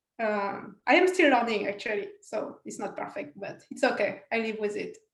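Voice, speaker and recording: A woman with a fairly high pitch speaks at a moderate pace with lively intonation and big swings in loudness. Audible room echo surrounds her voice. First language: not English. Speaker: scientist, panelist. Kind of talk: panel discussion.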